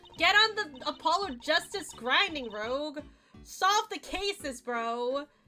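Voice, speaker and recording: A woman's raised, projected, high-pitched voice with very wide pitch swings at a fairly slow pace, music playing in the background. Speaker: VTuber streamer. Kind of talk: casual gameplay livestream. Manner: casual, animated.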